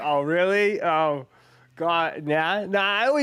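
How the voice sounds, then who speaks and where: Bright and sharp in tone, a man with an American accent speaks at a high pitch with ordinary pitch variation. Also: very clean recording, silent background. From Boston, now living in Florida.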